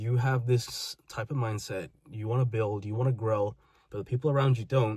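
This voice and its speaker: In a very clean recording with a silent background, a man's somewhat breathy voice sits at medium pitch. He keeps a moderate pace with ordinary pitch variation. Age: 20s. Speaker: vlogger. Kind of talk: personal monologue.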